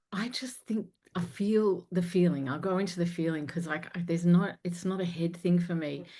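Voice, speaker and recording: Speaking at a moderate pace with an Australian accent, a woman uses a fairly low pitch, a dark, mellow tone, fairly even intonation and a somewhat breathy delivery. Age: 50s. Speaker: confidence coach and singer. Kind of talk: interview podcast conversation.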